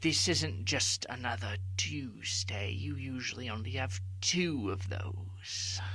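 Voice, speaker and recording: Amid noticeable background noise, a man in a put-on character voice speaks at a very deep, low pitch and a fairly slow pace, with hardly any pauses. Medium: audio drama. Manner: calm, measured, counselor-like.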